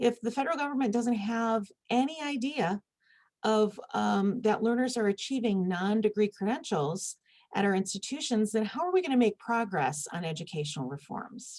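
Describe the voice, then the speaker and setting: A somewhat breathy woman with a Michigan accent, fairly high in pitch with very wide pitch swings, at a moderate pace. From US Midwest, Michigan. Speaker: conference speaker, university administrator. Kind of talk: conference presentation.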